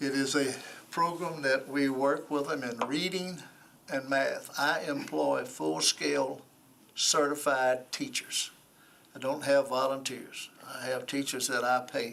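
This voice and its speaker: Amid noticeable background noise and audible room echo, a man with a Tennessee accent speaks at a fairly slow pace, his fairly high pitch held to fairly even intonation. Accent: US Southern (Tennessee). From Nashville, Tennessee. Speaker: former football coach, nonprofit director, board applicant. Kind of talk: interview. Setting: council committee room.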